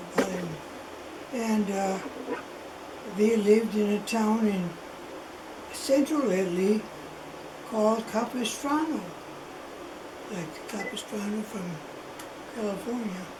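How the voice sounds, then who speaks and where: Over noticeable background noise, a woman with a fairly high pitch and ordinary pitch variation speaks at a fairly slow pace, with long, frequent pauses. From Italy. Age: 80s+. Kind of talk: interview answer. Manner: slow, hesitant.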